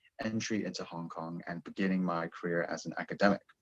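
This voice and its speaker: Talking at a fairly quick pace, a man with an American accent uses ordinary pitch variation. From United States. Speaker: PhD student and programme alumnus. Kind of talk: information session talk.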